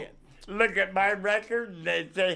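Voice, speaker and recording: A man with an American accent, a bright, sharp tone and a fairly slow pace. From San Francisco Bay Area, California. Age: 70s. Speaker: Navy veteran. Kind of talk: interview answer.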